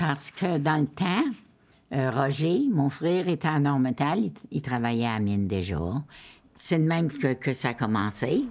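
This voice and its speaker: On a very clean recording with a silent background, a woman speaks at a fairly slow pace in a very deep, low pitch, her loudness very even. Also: lively intonation. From Abitibi, Quebec. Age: 80s+. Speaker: family elder interviewee. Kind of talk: casual chat.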